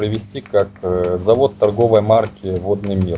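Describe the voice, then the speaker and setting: A man talks at a fairly slow pace while music plays in the background. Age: 30s. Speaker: Linux company representative. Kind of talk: interview.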